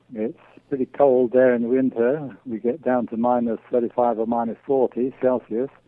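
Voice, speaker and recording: At a moderate pace, a man with an English accent speaks at a medium pitch. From England. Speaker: amateur cheesemaker and beekeeper. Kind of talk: interview.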